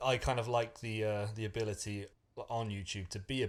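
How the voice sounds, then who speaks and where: A man's somewhat breathy, fairly low voice comes through on a very clean recording with a silent background. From Wales. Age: 30s. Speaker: personal finance YouTuber. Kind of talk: casual conversation.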